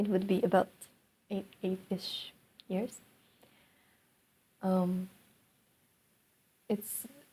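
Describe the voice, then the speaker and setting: A woman speaks very slowly, with long, frequent pauses and a monotone, flat intonation. Her voice is somewhat breathy, medium in pitch, with a dark, mellow tone. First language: not English. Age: 20s. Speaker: vlogger. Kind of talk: personal monologue. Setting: alone in her room. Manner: halting.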